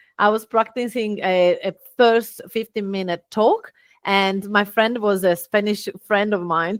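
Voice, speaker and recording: Speaking very slowly in an Italian accent, a woman has a fairly high pitch, heard in a dry, close sound with no echo. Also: very clean recording, silent background. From Italy. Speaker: business owner and speaker. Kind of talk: podcast interview.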